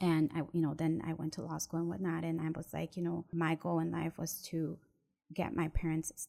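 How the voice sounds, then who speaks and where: A woman with an American accent speaks at a moderate pace in a very deep, low pitch with vocal fry. Her tone is dark and mellow, and her intonation is monotone and flat. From Mexico, raised in the US from age six. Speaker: real estate attorney and investor. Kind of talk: interview, personal story.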